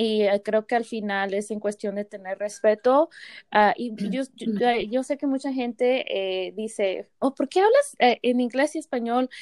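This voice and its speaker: Recorded very cleanly, dry and close with no echo against a silent background, a woman speaks at a moderate pace with a fairly high pitch. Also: ordinary pitch variation. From Mexican-American family from small rural town in Mexico. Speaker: podcast co-host. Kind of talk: casual chat.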